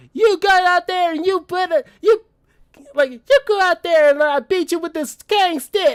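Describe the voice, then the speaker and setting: This put-on character voice, pitched extremely high, comes with a Southern US accent as part of the act. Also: moderate pace. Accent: country southern. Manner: aggressive, threatening, over-the-top.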